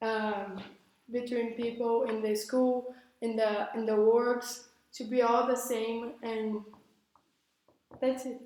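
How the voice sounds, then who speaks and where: Talking very slowly in a Portuguese accent, a woman keeps a fairly high pitch and a monotone, flat intonation, with audible room echo around her. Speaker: student debater. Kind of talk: classroom debate. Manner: halting.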